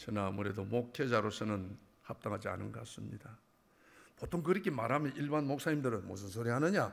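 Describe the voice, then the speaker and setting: An animated man in a Busan accent, at a fairly quick pace with very wide pitch swings. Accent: Gyeongsang (Busan) dialect. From Busan, South Korea. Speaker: church elder giving testimony. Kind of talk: testimony. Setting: church.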